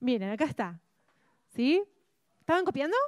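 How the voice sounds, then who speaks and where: At a moderate pace, a woman's high voice makes very wide pitch swings in a dry, close sound with no echo. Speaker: church Bible class teacher. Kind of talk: interactive Bible class lecture.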